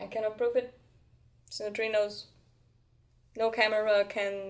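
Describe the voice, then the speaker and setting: A woman speaks in a monotone with flat intonation at a fairly high pitch. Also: moderate pace. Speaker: spiritual content creator (human design). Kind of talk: casual monologue vlog. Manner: loud.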